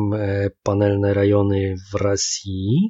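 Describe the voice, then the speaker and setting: This is a man talking with a Polish accent. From Łódź, Poland. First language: Polish (speaking Russian). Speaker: podcast co-host. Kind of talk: casual chat. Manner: halting, mixing Polish and Russian.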